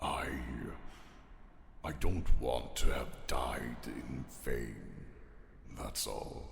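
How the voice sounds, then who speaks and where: Whispering in a put-on character voice, a man speaks at a very slow pace with long, frequent pauses, clear echo and clear background noise. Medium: audio drama. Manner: dry, deflecting.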